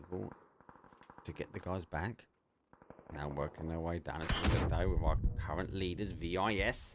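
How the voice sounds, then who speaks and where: With an Essex accent, a man speaks at a very deep, low pitch. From England, Essex. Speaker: esports caster. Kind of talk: live commentary. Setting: live stream. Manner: fast.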